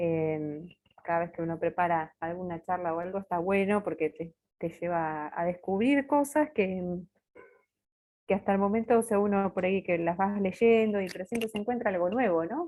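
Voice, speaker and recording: Here is a woman with a medium pitch. She varies her pitch an ordinary amount. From Buenos Aires, Argentina. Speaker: religious sister giving formation talk. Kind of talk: formation talk. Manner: fast.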